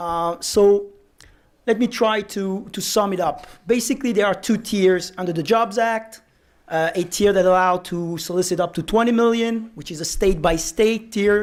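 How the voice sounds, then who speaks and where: Speaking in a French accent, a man with a high pitch is heard on a very clean recording with a silent background. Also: ordinary pitch variation, moderate pace. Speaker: securities lawyer, panel moderator. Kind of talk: panel discussion. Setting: conference lunch panel.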